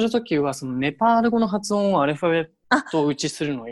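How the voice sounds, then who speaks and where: A man speaks at a fairly quick pace with a high pitch. The recording is very clean, with a silent background. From Hiroshima, Japan. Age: 20s. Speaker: local government worker volunteering abroad. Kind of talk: casual chat.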